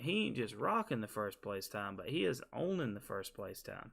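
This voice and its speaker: Speaking with a Southern US accent, a man moves through very wide pitch swings. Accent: Southern US (Georgia). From US South, Georgia. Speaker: gaming streamer. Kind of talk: live stream tutorial. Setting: live stream with webcam. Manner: casual, conversational.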